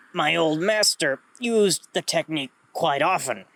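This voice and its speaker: Using a put-on character voice with a fairly high pitch, a man speaks at a fairly slow pace. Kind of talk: formal, archaic diction. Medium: read story. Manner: formal, measured.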